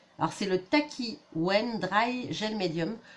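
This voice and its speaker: A woman's voice amid noticeable background noise. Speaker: scrapbooking youtuber. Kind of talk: product haul review. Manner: casual, hesitant with fillers.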